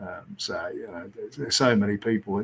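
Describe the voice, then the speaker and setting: A man with a British accent at a medium pitch and a very fast pace. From England. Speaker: former rugby coach. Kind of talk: casual interview. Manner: hesitant, many fillers.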